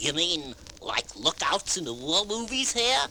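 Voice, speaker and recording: A man puts on a character voice, high-pitched with very wide pitch swings. He keeps a moderate pace over clear background noise. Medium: audio drama. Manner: excitable, chatty.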